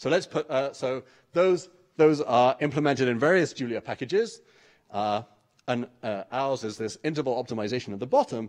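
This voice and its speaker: A man speaks with an English accent. His pitch varies in an ordinary way, at a moderate pace. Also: quiet background. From England. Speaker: mathematics researcher. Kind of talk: conference talk. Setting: stage with audience. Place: hall.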